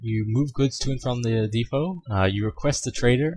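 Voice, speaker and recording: A man's somewhat breathy voice, medium in pitch, with lively intonation. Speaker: video game tutorial maker. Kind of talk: tutorial. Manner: fast; hesitant, many fillers.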